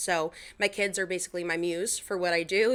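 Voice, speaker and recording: In a very clean recording with a silent background, a woman with a Long Island accent talks at a fairly quick pace in a fairly low pitch with a bright, sharp tone. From Long Island, New York. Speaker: Instagram content creator. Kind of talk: podcast interview. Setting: podcast recording.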